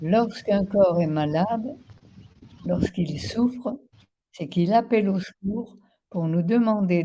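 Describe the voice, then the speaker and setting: This woman has a medium-pitched voice that is somewhat breathy, with a dark, mellow tone and ordinary pitch variation. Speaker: naturopath. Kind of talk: interview.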